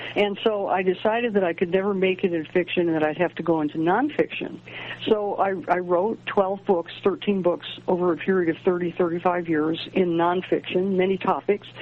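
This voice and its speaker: A woman at a fairly quick pace with fairly even intonation over noticeable background noise. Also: medium pitch for a woman. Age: 70s. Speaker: astrologer and author. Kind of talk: interview. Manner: halting.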